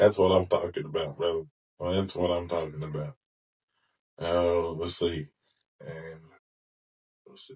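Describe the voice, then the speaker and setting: A man speaks in a very deep, low voice at a fairly slow pace, his fairly even intonation somewhat breathy, with long, frequent pauses and big swings in loudness. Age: 40s. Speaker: podcast host. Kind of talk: casual interview. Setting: podcast studio.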